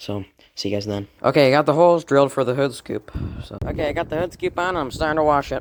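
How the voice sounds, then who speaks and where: Very fast talk from a man with a fairly high pitch. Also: ordinary pitch variation. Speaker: DIY mechanic video creator. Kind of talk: casual vlog narration while working. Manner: quiet, trying not to wake dad; casual, filler-heavy.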